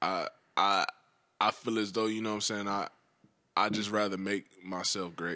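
Against a quiet background, a man speaks at a moderate pace with long, frequent pauses. His fairly low voice has a bright, sharp tone and monotone, flat intonation. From US South, Georgia and eastern North Carolina. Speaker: rapper. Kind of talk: casual chat.

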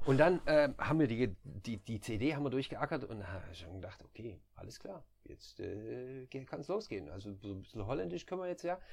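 A man talks in a relaxed tone at a moderate pace, with hardly any pauses and vocal fry. His medium pitch swings very widely, and his loudness varies a lot. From southern Germany, near Stuttgart. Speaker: nurse turned recruiter. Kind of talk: casual chat.

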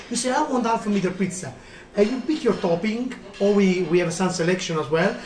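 A high-pitched man with an Italian accent, lively intonation and a fairly quick pace over noticeable background noise. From Italy, Naples. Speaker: restaurant owner. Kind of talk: interview. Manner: enthusiastic.

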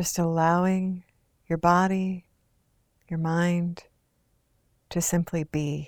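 A woman speaks with a fairly low pitch at a very slow pace, leaving long, frequent pauses. Her tone is calm and soothing, her intonation monotone and flat. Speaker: meditation guide. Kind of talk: guided meditation. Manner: slow, calm, soothing and unhurried, with long pauses; soft-spoken, gentle, even-toned.

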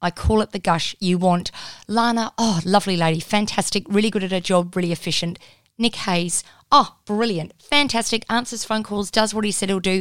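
Recorded very cleanly with a silent background, a woman speaks with an Australian accent. Her pace is moderate, with ordinary pitch variation. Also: medium pitch for a woman. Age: 40s. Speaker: media commentator and author. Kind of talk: interview. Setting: studio. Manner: animated.

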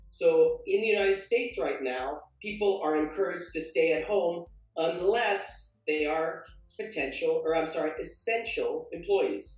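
Audible room echo colors the recording. A man's speech moves at a moderate pace within it. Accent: American. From US West Coast, San Diego, California. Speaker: English teacher. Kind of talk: online language lesson. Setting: online live stream.

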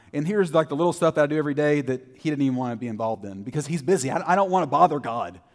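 A man speaks with a Texan accent. His pitch varies in an ordinary way. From Texas, Terrell. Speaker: preacher. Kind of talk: sermon.

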